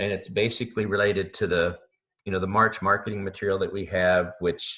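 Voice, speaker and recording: This man has a fairly low pitch and a bright, sharp tone, talking at a moderate pace with fairly even intonation. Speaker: online marketing instructor. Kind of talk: live webinar tutorial. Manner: halting, many fillers.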